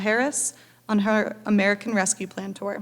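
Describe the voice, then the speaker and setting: A woman talks at a medium pitch on a very clean recording with a silent background. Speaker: event organization staffer. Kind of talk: speaker introduction. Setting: stage with audience. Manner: fast.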